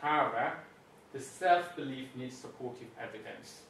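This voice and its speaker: A man speaks at a fairly high pitch with ordinary variation. Audible room echo and noticeable background noise accompany him. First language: not English. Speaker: coach and former engineer. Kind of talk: conference talk. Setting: conference room. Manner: halting.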